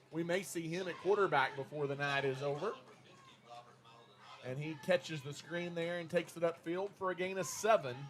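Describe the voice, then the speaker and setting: A man with a Texas accent talks at a moderate pace. His pitch is high, with ordinary variation. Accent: Texas twang. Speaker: play-by-play sports announcer. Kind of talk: live commentary.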